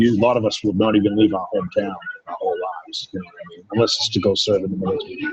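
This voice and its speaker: Over noticeable background noise, a man with an American accent speaks at a very fast pace, with big swings in loudness and long, frequent pauses. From Maine, US. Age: 40s. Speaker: strength athlete. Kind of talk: interview.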